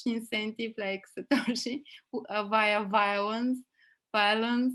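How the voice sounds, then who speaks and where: Speaking at a fairly slow pace, a woman with a strong Bulgarian accent keeps her intonation fairly even. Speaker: podcast host. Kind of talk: interview. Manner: halting, many fillers.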